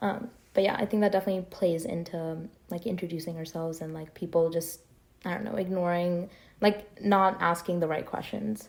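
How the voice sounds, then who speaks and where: A woman talks with an American accent in an ordinary speaking voice at a fairly quick pace. Her loudness swings widely. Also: fairly low pitch for a woman, fairly even intonation. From New Jersey. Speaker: podcast host. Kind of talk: casual chat.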